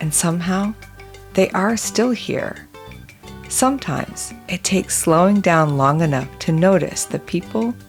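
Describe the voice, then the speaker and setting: The pitch swings very widely at a fairly slow pace. Music plays in the background. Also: woman. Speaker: podcast host. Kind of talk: documentary narration.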